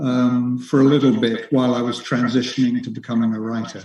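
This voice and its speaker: Speaking at a moderate speed, a man talks in an English accent. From England. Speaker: author. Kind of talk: interview. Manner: halting, with many fillers.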